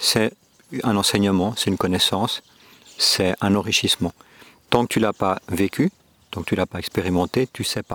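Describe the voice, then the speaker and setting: Recorded with a dry, close sound and no echo, a man speaks at a moderate pace with a fairly low pitch, a bright, sharp tone, and fairly even intonation. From Switzerland, Geneva. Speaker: podcast guest on spirituality. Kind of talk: reflective interview. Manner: hesitant, many fillers.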